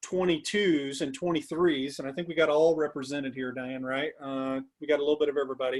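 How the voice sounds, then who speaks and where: A man's voice with ordinary pitch variation. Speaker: recruiting consultant, former college recruiting coordinator. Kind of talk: webinar presentation. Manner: fast.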